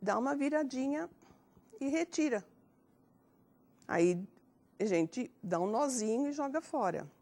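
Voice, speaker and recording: Her pitch high and swinging very widely, a woman speaks fairly slowly in a dark, mellow tone, pausing long and often. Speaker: elderly HIV prevention agent. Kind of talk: TV health program talk, demonstration. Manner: hesitant, many fillers.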